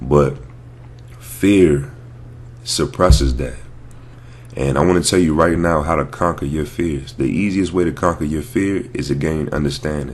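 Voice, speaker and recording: A man with a very deep, low pitch talks at a moderate pace with lively intonation. Audible room echo is present. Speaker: network marketer and vlogger. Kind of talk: motivational vlog talk. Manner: casual, hesitant with fillers.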